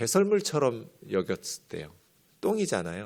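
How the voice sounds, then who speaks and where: Speaking fairly slowly, a man makes very wide pitch swings. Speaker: pastor. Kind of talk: sermon.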